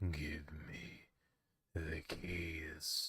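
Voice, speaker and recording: A man uses a put-on character voice that is guttural and very deep in pitch. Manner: demanding.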